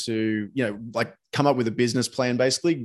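In an Australian accent, a man talks at a fairly quick pace with a medium pitch and fairly even intonation. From Sydney, Australia. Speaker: podcast host. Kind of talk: casual interview chat. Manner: halting, many fillers.

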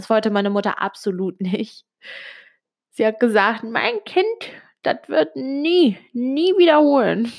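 Speech comes at a very slow pace, broken by long, frequent pauses, with very wide pitch swings. The recording is very clean, the background silent. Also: woman, fairly high pitch for a woman. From Switzerland, Italian family. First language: Italian (speaking German). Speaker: podcaster. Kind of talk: personal monologue. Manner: hesitant, many fillers.

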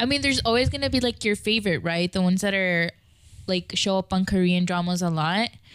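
A woman uses a normal speaking voice at medium pitch, with ordinary pitch variation, a fairly quick pace, and a dry, close sound with no echo. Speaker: podcast co-host. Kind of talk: casual chat.

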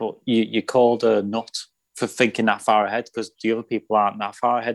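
In a very clean recording with a silent background and a dry, close sound with no echo, a man speaks at medium pitch and a fairly quick pace in a monotone, flat intonation. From northern England (Runcorn, Cheshire). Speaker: actor. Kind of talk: casual chat.

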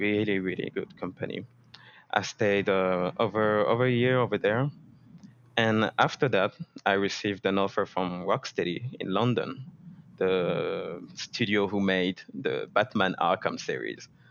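In a French accent, a man with a fairly low pitch speaks at a fairly slow pace with fairly even intonation. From France. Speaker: 3D environment artist. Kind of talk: interview.

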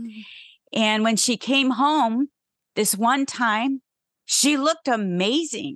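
Against a quiet background, with a dry, close sound and no echo, a woman with an American accent speaks at a fairly slow pace, her pitch varying in an ordinary way. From Ohio, US Midwest. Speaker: ministry leader and podcast co-host. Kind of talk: testimony.

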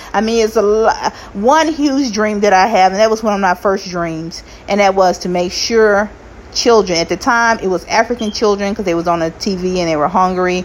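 Against noticeable background noise, a woman talks in an animated tone at a medium pitch. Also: ordinary pitch variation, moderate pace. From US South (Arkansas) and Kansas City. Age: 40s. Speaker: podcast host, nursing assistant. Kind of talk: casual solo monologue.

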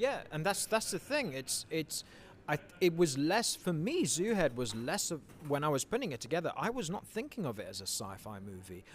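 At a moderate pace, a man with a fairly high pitch and vocal fry speaks in very wide pitch swings. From England and Mauritius (ages 7-16). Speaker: film director. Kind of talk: interview.

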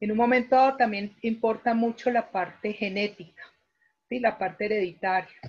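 A woman speaks at a fairly high pitch and a moderate pace. Her voice is somewhat breathy, with fairly even intonation. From Colombia. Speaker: pediatric physiotherapist. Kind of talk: interview on a live online talk. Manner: halting with word repetitions.

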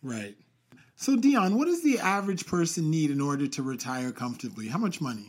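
In a very clean recording, silent background, a man speaks at a fairly quick pace with very wide pitch swings. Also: fairly high pitch for a man. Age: young. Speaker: podcast co-host. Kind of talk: casual chat.

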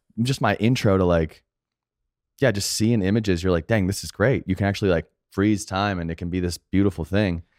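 An ordinary speaking voice, a man with an American accent talks at a fairly quick pace and fairly low pitch with ordinary pitch variation, the sound dry and close with no echo. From Arizona, US. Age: 30s. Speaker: video director and entrepreneur. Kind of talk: casual chat.

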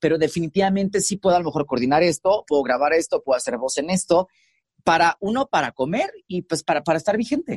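Speaking at a fairly quick pace, a man with a high pitch uses ordinary pitch variation in a dry, close sound with no echo. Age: 30s. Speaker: radio host and TV presenter. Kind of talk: casual interview chat. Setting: recording booth.

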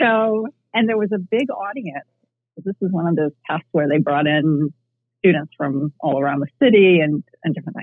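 With lively inflection and a middling speed, a plain, everyday voice is heard. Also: woman, fairly low pitch for a woman. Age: 50s. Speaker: martial arts instructor and life coach. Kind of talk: casual interview.

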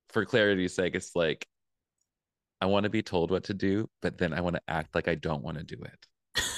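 A man speaks in a very deep, low voice with ordinary pitch variation. The sound is dry and close, without echo. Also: long, frequent pauses, very clean recording, silent background. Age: 30s. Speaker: spirituality coach and author. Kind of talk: casual chat.

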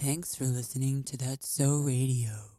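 This is a put-on character voice pitched in the low-to-middle range. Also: moderate pace. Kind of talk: smooth radio announcer.

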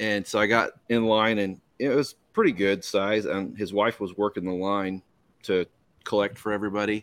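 A man speaks in a normal speaking voice, fairly low in pitch, at a moderate pace. His intonation stays fairly even on a very clean recording with a silent background. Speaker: podcast co-host. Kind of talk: casual banter. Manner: joking, profane.

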